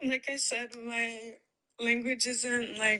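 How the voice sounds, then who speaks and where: A woman talks with a non-native accent. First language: not English. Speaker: debate caller. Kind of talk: heated debate. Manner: halting.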